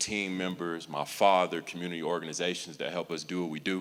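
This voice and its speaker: His pace is fairly quick. The man's pitch sits very deep and low. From Colorado Springs. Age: 20s. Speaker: youth sports nonprofit founder. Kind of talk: impromptu speech. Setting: church event. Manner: halting, many fillers.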